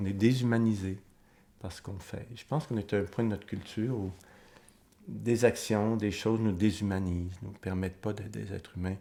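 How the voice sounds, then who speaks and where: Here a man talks at a moderate pace with a fairly low pitch and a dark, mellow tone. His intonation stays fairly even while his loudness swings widely. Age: 60s. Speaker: author and psychoanalyst interviewee. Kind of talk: documentary interview. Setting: filmed documentary interview. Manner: reflective, with hesitations.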